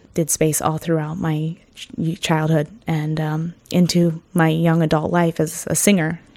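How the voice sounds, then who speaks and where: At a fairly slow pace, a woman with a Northern California accent speaks in a very deep, low voice with monotone, flat intonation. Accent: Northern California American. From Ukiah, California (adopted from Brazil as a baby). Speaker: singer and teacher. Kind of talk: interview. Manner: hesitant, many fillers.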